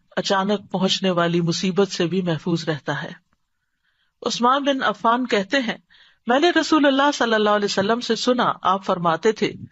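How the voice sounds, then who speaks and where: A woman with lively intonation speaks in a normal speaking voice. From Pakistan. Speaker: Islamic scholar and preacher. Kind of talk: religious lecture (bayan) to an audience. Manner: explanatory, teaching.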